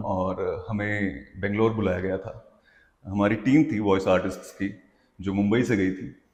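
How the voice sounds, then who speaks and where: A man has a plain, everyday voice with a fairly low pitch and ordinary pitch variation. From Hanumangarh, Rajasthan, India. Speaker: voiceover and dubbing artist. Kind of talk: interview answer.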